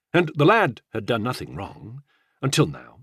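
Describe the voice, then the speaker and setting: Delivered at a moderate pace in an unremarkable speaking voice, the lively intonation comes through a dry, close sound with no echo on a very clean recording with a silent background. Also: man. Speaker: audiobook narrator. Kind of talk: audiobook narration of historical fiction.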